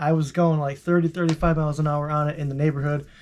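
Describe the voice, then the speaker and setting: The speaker is a man whose voice sits at a fairly high pitch. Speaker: vlogger. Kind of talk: casual vlog monologue. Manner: fast; halting, many fillers and repeats.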